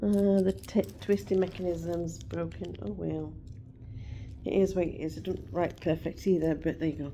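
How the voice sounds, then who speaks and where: A loud voice with an English accent speaks with long, frequent pauses. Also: woman. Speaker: vlogger. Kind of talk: casual chat.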